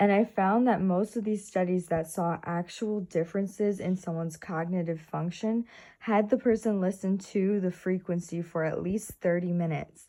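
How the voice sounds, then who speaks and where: With hardly any pauses, a woman speaks in a dark, mellow tone with fairly even intonation over a quiet background. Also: medium pitch for a woman, moderate pace. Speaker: wellness vlogger. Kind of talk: casual explainer vlog.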